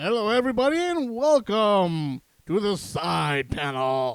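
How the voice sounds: In a put-on character voice, a man speaks high and gravelly at a fairly slow pace, with very wide pitch swings.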